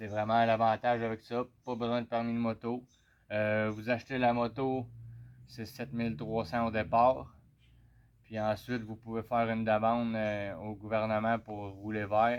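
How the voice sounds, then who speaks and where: Speaking at a fairly slow pace with a Quebec accent, a man keeps a medium pitch and monotone, flat intonation. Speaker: motorcycle owner vlogger. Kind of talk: casual product review. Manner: hesitant, many fillers.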